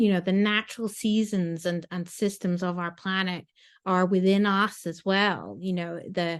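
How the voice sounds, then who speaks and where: The voice speaks at a fairly slow pace in a flat monotone. The background is quiet. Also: woman, medium pitch for a woman. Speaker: agile and sustainability coach. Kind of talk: interview.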